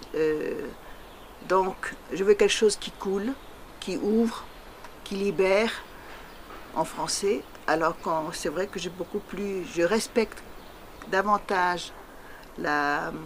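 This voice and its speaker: With a Tahitian accent, a woman of medium pitch speaks at a very slow pace, leaving long, frequent pauses, with ordinary pitch variation and noticeable background noise. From French Polynesia (Tahiti). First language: Tahitian (speaking French). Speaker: poet. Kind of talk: interview. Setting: interview in Paris. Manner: halting, many hesitations.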